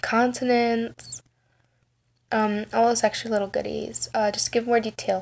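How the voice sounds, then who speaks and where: Soft-spoken and fairly slow, a woman talks at a fairly high pitch. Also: very clean recording, silent background. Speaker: tarot reader. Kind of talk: tarot reading. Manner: quiet, soft-spoken.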